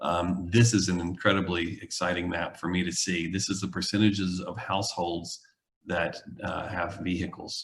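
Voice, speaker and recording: A man's somewhat breathy, very deep, low voice moves at a moderate pace with monotone, flat intonation. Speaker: urban planning consultant. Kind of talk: public presentation. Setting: video call. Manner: hesitant, many fillers.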